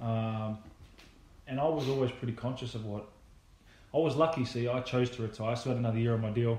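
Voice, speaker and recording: Spoken very fast in an Australian accent, the speech has fairly even intonation broken by long, frequent pauses. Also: man, medium pitch for a man. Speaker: retired rugby league player. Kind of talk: casual chat.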